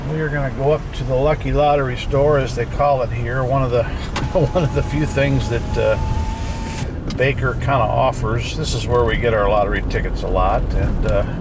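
The speech moves at a moderate pace, with a dry sound with no echo and noticeable background noise. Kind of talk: casual vlog commentary. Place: car. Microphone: phone near.

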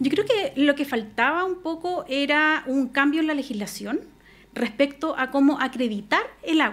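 Moderate pace and high pitch from a woman. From Chile, La Serena (Coquimbo region); Chile. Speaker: lawyer, regional irrigation official; lawyer. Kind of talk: radio interview. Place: studio. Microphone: studio mic.

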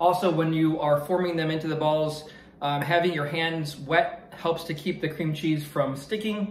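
With audible room echo, a man talks at a moderate pace and with fairly even intonation. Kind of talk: casual cooking vlog chat. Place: kitchen. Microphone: phone near.

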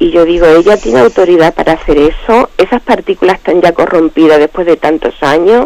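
A woman's fairly low, dark, mellow voice at a fairly quick pace, with ordinary pitch variation, very even loudness, and a dry, close sound with no echo. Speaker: radio caller. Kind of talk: question on a call-in show. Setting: phone call.

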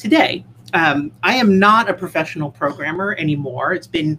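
A woman's fairly low voice with a bright, sharp tone and lively intonation, over light background noise. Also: moderate pace. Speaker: conference speaker. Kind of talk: conference talk. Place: home room.

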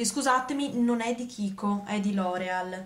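A woman talks at a very slow pace in a somewhat breathy voice with ordinary pitch variation. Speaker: beauty vlogger. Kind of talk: tutorial. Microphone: phone near.

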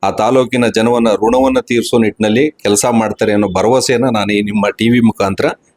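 This man's voice sits at a medium pitch, with very even loudness and a monotone, flat intonation, recorded with a dry, close sound and no echo. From Karnataka, Mysore district (K R Nagara taluk). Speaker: businessman and local party leader. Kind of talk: TV interview. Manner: halting.

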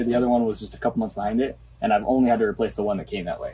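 Somewhat breathy and dark, mellow in tone, a man talks at a very fast pace with lively intonation. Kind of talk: interview answer. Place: workshop. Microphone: phone near.

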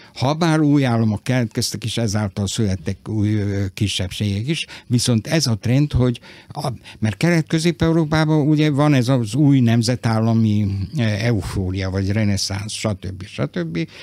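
Talking at a fairly slow pace, a man has a medium pitch, a dark, mellow tone and lively intonation, recorded dry with no echo. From Vojvodina, Serbia (Novi Sad); Vojvodina, Serbia. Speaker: writer. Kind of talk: radio interview. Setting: studio. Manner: halting. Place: studio.

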